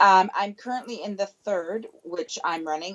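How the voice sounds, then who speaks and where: This woman has an ordinary speaking voice with a Canadian accent. She talks at a moderate pace with lively intonation. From Canada. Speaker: chiropractor. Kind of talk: interview. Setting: phone call.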